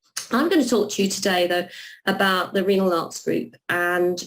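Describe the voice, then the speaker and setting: A woman with a London accent speaks with vocal fry. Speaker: renal nurse and nursing academic. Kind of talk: webinar presentation. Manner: hesitant with many fillers and repeats.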